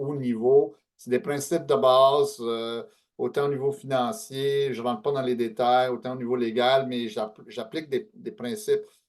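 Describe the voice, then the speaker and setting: This man talks at a moderate pace. His pitch sits fairly high. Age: 60s. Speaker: author and speaker on aging and estate planning. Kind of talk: webinar talk. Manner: hesitant, many fillers.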